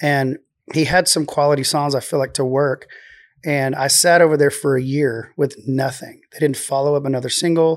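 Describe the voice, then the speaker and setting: In a very clean recording with a silent background, a man with a Texan accent speaks at a moderate pace and a fairly high pitch, his intonation monotone and flat. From Texas, Waco area. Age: 40s. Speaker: singer-songwriter. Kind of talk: casual chat. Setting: studio. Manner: quiet.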